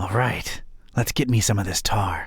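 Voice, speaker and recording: In a raspy, put-on character voice, a man speaks at medium pitch and a moderate pace. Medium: video game. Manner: dry, sardonic.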